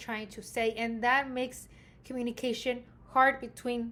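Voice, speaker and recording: Loud and high-pitched, a woman speaks with an American accent. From Mexican American, US. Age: 30s. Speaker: graduate student. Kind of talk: class presentation. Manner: hesitant with fillers.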